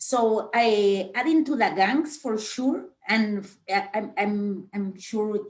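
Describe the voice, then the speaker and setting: A woman with a Spanish accent speaks at a medium pitch and very slow pace, with ordinary pitch variation. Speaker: journalist. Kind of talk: panel discussion. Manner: halting.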